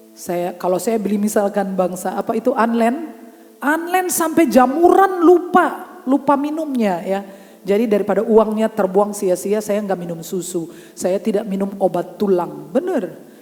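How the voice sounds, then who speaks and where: A woman at a medium pitch with an animated tone, very wide pitch swings and a moderate pace, over noticeable background noise. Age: 60s. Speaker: pastor. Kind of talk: sermon. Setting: church.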